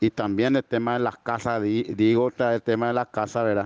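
A man speaks at a medium pitch. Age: 30s. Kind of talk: interview testimony. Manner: halting, repetitive.

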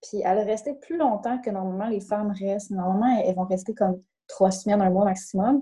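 The voice carries a Saguenay accent and a dark, mellow tone. It is somewhat breathy, with ordinary pitch variation. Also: woman. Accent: Quebec French (Saguenay). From Quebec, Saguenay. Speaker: life coach. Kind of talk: interview. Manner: hesitant, many fillers.

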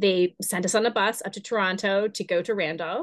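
A woman speaks with an Ontario accent at a fairly quick pace. Her intonation stays fairly even. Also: quiet background. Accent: Canadian (Ontario). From Kingston, Ontario, Canada. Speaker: dance studio founder and performer. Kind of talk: interview.

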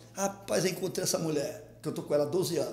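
A man's fairly high-pitched voice at a very fast pace, with ordinary pitch variation and audible room echo. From Rio de Janeiro, Maré favela. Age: 50s. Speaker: comedian and internet personality. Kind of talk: casual interview storytelling. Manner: animated.

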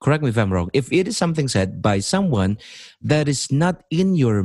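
There are very wide pitch swings in this man's voice. The sound is dry and close with no echo. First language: Indonesian. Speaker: podcast host and English teacher. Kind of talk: casual chat. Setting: online call. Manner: deliberate.

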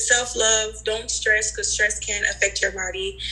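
Noticeable background noise beneath fairly slow delivery. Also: woman. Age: 20s. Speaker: nurse. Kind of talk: casual group chat.

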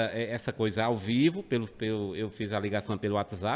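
The pace is moderate. The speaker is a man. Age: 40s. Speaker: rock radio presenter. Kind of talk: casual chat. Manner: halting, repeats words.

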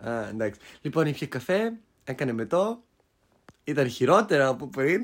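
A man's fairly high voice at a moderate pace, with very wide pitch swings and long, frequent pauses. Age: 20s. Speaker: podcast co-host. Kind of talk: casual chat. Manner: loud. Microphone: cheap mics, sounds a bit bad.

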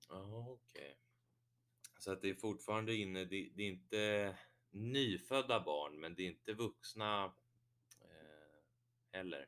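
With long, frequent pauses, a man speaks at a fairly slow pace in a fairly low voice, his pitch varying in an ordinary way. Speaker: podcast host. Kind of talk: casual interview.

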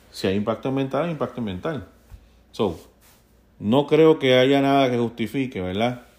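On a very clean recording with a silent background, a man with a Puerto Rican accent speaks at medium pitch and a fairly slow pace, with ordinary pitch variation and long, frequent pauses. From Puerto Rico. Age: 40s. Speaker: podcast host. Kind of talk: solo news commentary.

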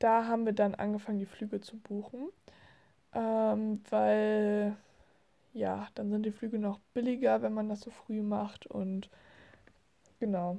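A woman speaks very slowly in a dark, mellow tone at medium pitch, her intonation monotone and flat, with long, frequent pauses. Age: 20s. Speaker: podcaster. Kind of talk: casual monologue. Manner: hesitant, many fillers.

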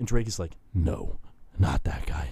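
At a moderate pace, a man with an American accent talks with vocal fry and very wide pitch swings. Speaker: college radio host. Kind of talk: casual chat. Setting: studio. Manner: rambling.

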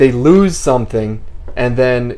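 In a room with audible echo, a man speaks at a fairly slow pace. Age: 30s. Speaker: podcast host. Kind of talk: casual chat.

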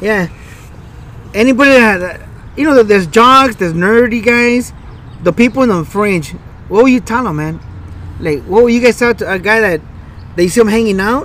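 With an American accent, a man speaks in a high pitch at a moderate pace, using ordinary pitch variation and long, frequent pauses amid noticeable background noise. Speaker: podcast co-host. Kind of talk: casual chat. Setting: outdoors in a park.

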